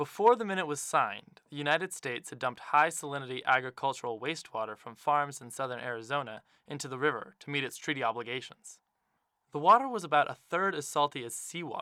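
At a very fast pace, a man with a fairly high pitch and a bright, sharp tone talks with lively intonation and big swings in loudness. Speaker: radio reporter. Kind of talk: scripted narration.

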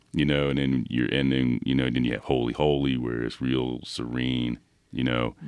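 Over noticeable background noise, a man with an American accent speaks at a moderate pace in a very deep, low voice with monotone, flat intonation. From Philadelphia, US. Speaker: professor. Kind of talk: casual chat. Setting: studio. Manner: halting.

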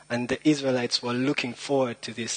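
Over noticeable background noise, a man at a medium pitch talks at a fairly quick pace in a dry, close sound with no echo. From Rwanda. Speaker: lay preacher. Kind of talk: sermon. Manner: halting.

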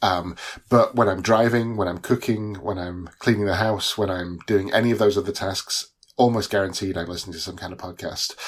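With a British accent and a fairly low pitch, a man speaks at a fairly quick pace with fairly even intonation on a very clean recording with a silent background. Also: big swings in loudness. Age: 40s. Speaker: newsletter author and iOS developer. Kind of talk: casual interview. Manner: hesitant, many fillers.

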